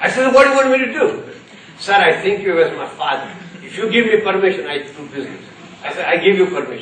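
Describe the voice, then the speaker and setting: A high-pitched man at a very fast pace, very wide pitch swings, noticeable background noise and audible room echo. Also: big swings in loudness. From India, Gujarat (Ahmedabad). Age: 70s. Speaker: corporate trainer and keynote speaker. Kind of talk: keynote speech.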